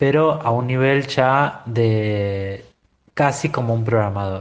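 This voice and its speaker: With audible room echo, a man talks at a medium pitch with ordinary pitch variation. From Buenos Aires, Argentina. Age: 40s. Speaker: tech business owner, former sysadmin. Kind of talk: recorded opinion monologue. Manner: halting, many fillers.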